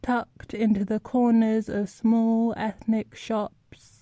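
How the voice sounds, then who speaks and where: With a dark, mellow tone, a woman speaks very slowly at a fairly high pitch in a monotone, flat delivery. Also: very clean recording, silent background. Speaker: poetry reader. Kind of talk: poem performed, reflective spoken-word reading. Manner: measured, emotive, pensive.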